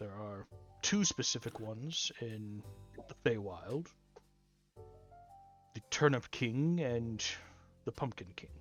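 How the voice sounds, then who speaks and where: Over faint background music, someone uses a put-on character voice at a fairly slow pace with long, frequent pauses. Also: man, medium pitch for a man. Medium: actual play. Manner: matter-of-fact.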